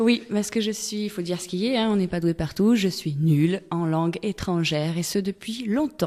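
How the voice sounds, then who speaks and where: A woman speaks at a moderate pace and medium pitch, with ordinary pitch variation and hardly any pauses. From Togo. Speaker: singer-songwriter. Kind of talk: radio interview. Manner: hesitant, many fillers.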